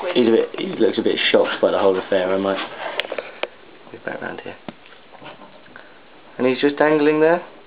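Fairly quick speech with long, frequent pauses and big swings in loudness, over noticeable background noise. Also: man. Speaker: spider and reptile keeper. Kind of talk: casual commentary on pet video. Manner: rising intonation at end of sentences. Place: home room.

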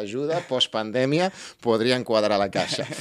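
A man is speaking. The background is quiet. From Barcelona. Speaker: podcast host. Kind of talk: interview. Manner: halting. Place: studio. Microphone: studio mic.

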